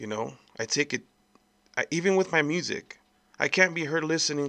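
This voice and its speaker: A man speaks at a moderate pace with a bright, sharp tone, recorded dry and close with no echo over a quiet background. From El Paso, Texas. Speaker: podcast host. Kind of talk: angry rant. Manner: heated, emphatic, profane; direct, repeated appeals to 'folks'.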